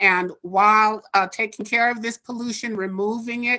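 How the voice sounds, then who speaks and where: With an American accent and a normal speaking voice, a woman talks at a fairly slow pace, her fairly high pitch showing ordinary variation. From Oakland, California. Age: 60s. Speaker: public commenter. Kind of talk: public comment at online town hall.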